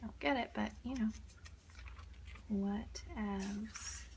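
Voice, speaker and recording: Noticeable background noise sits behind a soft-spoken voice. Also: woman. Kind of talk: ASMR page flipping, casual talk to camera.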